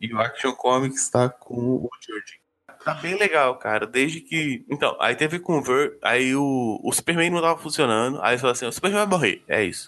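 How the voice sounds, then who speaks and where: A man speaks in a bright, sharp tone with a fairly high pitch. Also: ordinary pitch variation, moderate pace. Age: 20s. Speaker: comics podcaster. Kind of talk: casual chat.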